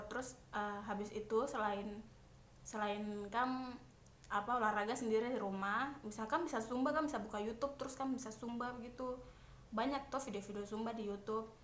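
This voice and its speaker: A woman speaks at a very fast pace with a Papuan accent. Her pitch is fairly high and her intonation fairly even. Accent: Papuan Indonesian. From Papua, Indonesia. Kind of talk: casual talk to camera while doing makeup. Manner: chatty, informal.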